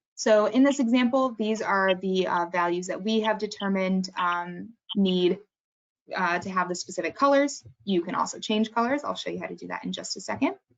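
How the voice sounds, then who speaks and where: A woman with an unremarkable speaking voice talks at a moderate pace, her pitch medium and ordinarily varied. Her loudness swings widely. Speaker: software trainer. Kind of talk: webinar tutorial.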